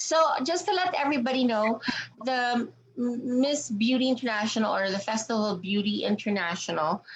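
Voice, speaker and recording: Noticeable background noise sits behind a woman's fairly high voice. She speaks at a moderate pace with lively intonation. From Canada. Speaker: pageant interviewer. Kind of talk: interview.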